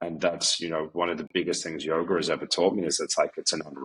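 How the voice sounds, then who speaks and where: In an Australian accent, a man speaks with a very deep, low pitch and fairly even intonation. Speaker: yoga teacher. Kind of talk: casual chat.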